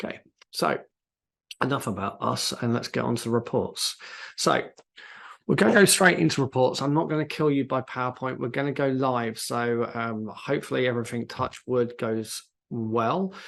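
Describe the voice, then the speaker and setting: Over a quiet background, a man with a British accent speaks at a moderate pace with ordinary pitch variation. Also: medium pitch for a man. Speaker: CRM software consultant presenting a webinar. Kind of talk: live software tutorial webinar. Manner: hesitant, many fillers.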